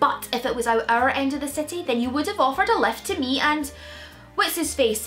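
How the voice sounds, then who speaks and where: With faint music in the background, a woman speaks at a moderate pace in a high pitch with very wide pitch swings. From Scotland. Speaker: comedian. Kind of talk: comedy sketch dialogue. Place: home room.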